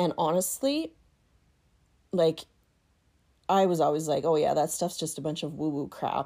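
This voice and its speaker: A woman's very deep, low voice with a dark, mellow tone, ordinary pitch variation, moderate pace and long, frequent pauses. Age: 40s. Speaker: podcaster. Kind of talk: casual monologue. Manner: hesitant, many fillers.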